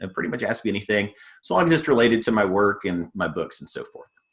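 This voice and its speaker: A man speaks with a Texan accent. His pitch variation is ordinary. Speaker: fiction author. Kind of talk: reading aloud; casual talk to an audience. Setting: video call.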